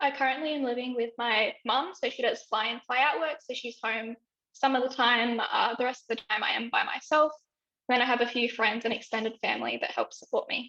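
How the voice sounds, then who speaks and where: The woman speaks at a fairly quick pace with a high pitch. She has an Australian accent. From Western Australia, Broome. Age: 20s. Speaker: health consumer advocate. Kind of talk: interview testimony. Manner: hesitant with fillers.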